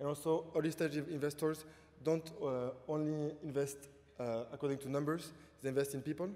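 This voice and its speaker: With a strong French accent, a man talks at a fairly quick pace in a dark, mellow tone. His pitch is fairly high and his intonation is monotone and flat. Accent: French, thick. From France. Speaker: entrepreneur. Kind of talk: panel talk.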